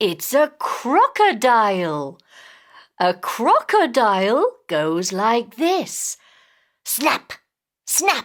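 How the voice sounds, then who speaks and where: A put-on character voice, female-sounding and high-pitched, very slow with long, frequent pauses. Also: very clean recording, silent background. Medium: read story.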